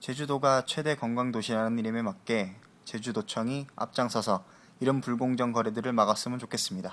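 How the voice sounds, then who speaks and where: A man's unremarkable speaking voice at a medium pitch, fairly quick in pace, with fairly even intonation. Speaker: debate moderator. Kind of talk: panel debate. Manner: formal.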